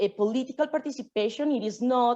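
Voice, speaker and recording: Speaking with a non-native accent, a woman uses a high pitch and ordinary pitch variation. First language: not English. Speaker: conference speaker. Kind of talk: presentation. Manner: halting, many fillers.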